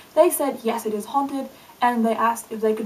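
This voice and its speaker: Fairly high-pitched speech from a woman, with noticeable noise behind it. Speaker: video blogger. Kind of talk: casual vlog monologue. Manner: fast; animated.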